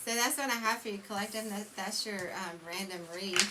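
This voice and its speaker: The speech is mumbled, at a moderate pace with ordinary pitch variation. Noticeable background noise and audible room echo are present. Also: woman. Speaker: tarot reader. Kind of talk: tarot reading monologue. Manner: mumbling; halting, many fillers.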